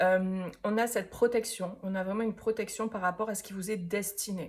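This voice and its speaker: Speaking at a fairly slow pace with a southern French accent, a woman uses a medium-pitched, somewhat breathy voice with fairly even intonation. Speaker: tarot reader. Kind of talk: tarot reading. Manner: hesitant, many fillers; casual.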